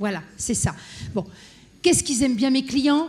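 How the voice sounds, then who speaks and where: A somewhat breathy woman's voice on a very clean recording with a silent background. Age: 60s. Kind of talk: conference panel talk. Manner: animated.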